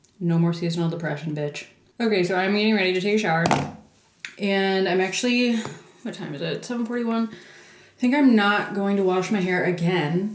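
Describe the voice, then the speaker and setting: Amid audible room echo and noticeable background noise, a woman speaks at a fairly quick pace. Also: medium pitch for a woman, ordinary pitch variation. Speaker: vlogger. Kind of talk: casual vlog talk to camera. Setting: in public, post office and yoga studio. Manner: chatty; whispering.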